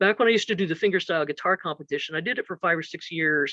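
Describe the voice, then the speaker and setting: A woman talks at a very fast pace in an animated tone, with ordinary pitch variation and a dry, close sound with no echo. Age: 60s. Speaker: musician and music teacher. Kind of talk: interview. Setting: live stream.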